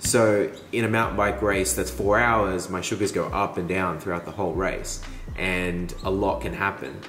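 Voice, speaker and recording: Lively intonation at a moderate pace, with an Australian accent and audible room echo. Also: man, very deep, low pitch for a man. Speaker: mountain biker vlogger. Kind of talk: vlog narration. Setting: over coffee. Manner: animated.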